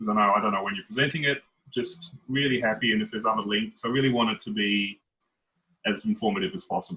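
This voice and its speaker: With an Australian accent, a man talks at a very fast pace and medium pitch, broken by long, frequent pauses. His pitch swings very widely. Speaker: head of a city literature office. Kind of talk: video call panel discussion. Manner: fast when excited.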